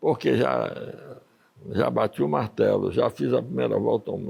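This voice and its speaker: The recording is very clean over a silent background. It captures a man's voice. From Bahia, Brazil (born in Ukraine). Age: 80s+. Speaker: sailor and adventurer. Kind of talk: interview. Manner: conversational, storytelling.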